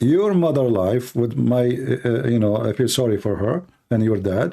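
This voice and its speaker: This man has a dark, mellow tone and medium pitch, with a non-native accent. He speaks at a moderate pace with lively intonation. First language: not English. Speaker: apologetics show host taking calls. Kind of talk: casual chat with caller. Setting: call.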